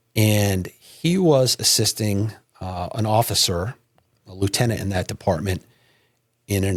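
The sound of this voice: A somewhat breathy man with a New England accent and ordinary pitch variation, on a very clean recording with a silent background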